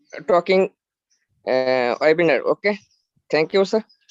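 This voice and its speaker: A man with a Bangladeshi accent speaks with a high pitch and ordinary pitch variation. The sound is dry and close, with no echo. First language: Bengali. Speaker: community member sharing feedback. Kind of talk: webinar greeting. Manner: halting, many hesitations.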